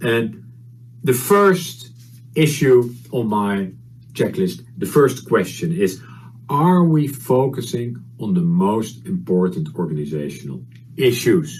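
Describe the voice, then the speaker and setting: A man with a Dutch accent, somewhat breathy, very slow, medium in pitch, with very wide pitch swings and audible room echo. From Netherlands. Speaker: HR consultant and conference speaker. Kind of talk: conference presentation. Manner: halting, many fillers.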